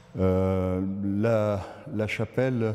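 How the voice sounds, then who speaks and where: A man's fairly low voice carries a dark, mellow tone and fairly even intonation. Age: 60s. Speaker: local association member. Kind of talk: interview, guided site tour. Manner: halting, many hesitations and repetitions.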